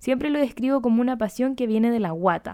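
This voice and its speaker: Speaking in a Chilean accent, a woman has a high pitch and a dark, mellow tone. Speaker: podcast host. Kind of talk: advice show, reading listener letters. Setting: home recording. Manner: casual, chatty.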